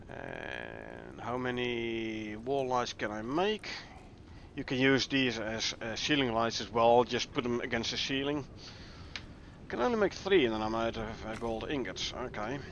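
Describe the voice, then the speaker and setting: Speaking fairly slowly, a man talks with a Dutch accent. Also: medium pitch for a man, ordinary pitch variation. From Netherlands. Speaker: gaming streamer. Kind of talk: live gameplay commentary. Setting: live stream. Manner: casual, thinking aloud with fillers.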